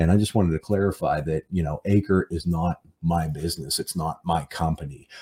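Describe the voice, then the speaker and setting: A man with a very deep, low pitch and a dark, mellow tone speaks at a fairly quick pace with fairly even intonation, the sound dry and close with no echo on a very clean recording with a silent background. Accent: American. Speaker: real estate investor and podcast host. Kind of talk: solo podcast monologue. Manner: many fillers and repetitions.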